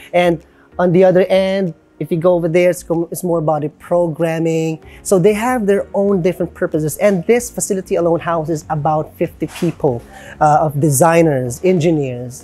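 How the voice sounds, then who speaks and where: Music plays in the background as a woman talks at a fairly low pitch with ordinary pitch variation. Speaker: factory tour video host. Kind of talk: walkthrough presentation. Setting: on location in a factory. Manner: quiet.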